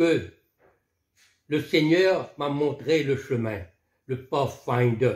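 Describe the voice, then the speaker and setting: A man speaking at a very slow pace. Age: 70s. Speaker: veteran scout leader. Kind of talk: testimony.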